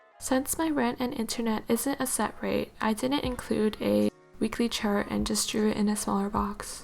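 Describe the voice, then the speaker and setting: Over music in the background, a woman speaks at a moderate pace with very even loudness and hardly any pauses. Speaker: university student. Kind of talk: bullet journal tutorial voiceover.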